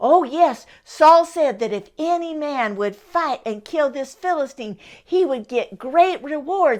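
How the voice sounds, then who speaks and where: A woman puts on a character voice, speaking high in her range at a fairly slow pace. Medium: read story.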